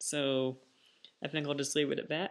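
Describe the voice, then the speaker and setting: A man against a quiet background. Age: 20s. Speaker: vlogger. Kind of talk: casual vlog monologue. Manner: hesitant, many fillers. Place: home room. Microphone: webcam.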